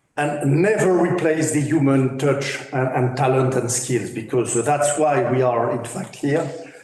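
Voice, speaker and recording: Audible room echo surrounds this recording of a man. He speaks at a fairly slow pace in a fairly high pitch. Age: 60s. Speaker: business professional. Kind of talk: roundtable discussion. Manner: halting.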